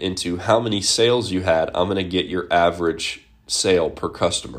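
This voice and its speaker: With a normal speaking voice, a man talks at a moderate pace in a fairly low pitch and fairly even intonation on a very clean recording with a silent background. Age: 30s. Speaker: podcast host and wildlife control business owner. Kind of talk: solo podcast monologue.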